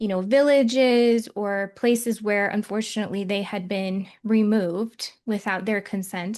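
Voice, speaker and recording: A woman in a Michigan accent speaks at a medium pitch and a fairly slow pace with fairly even intonation and hardly any pauses against a quiet background. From Michigan, US. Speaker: psychic medium and podcast host. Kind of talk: casual podcast conversation.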